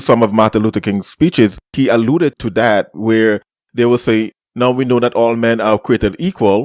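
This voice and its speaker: With a Caribbean accent, a man speaks at a medium pitch. The recording is very clean with a silent background and a dry, close sound with no echo. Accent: uniquely Caribbean. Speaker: podcast host. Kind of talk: casual chat.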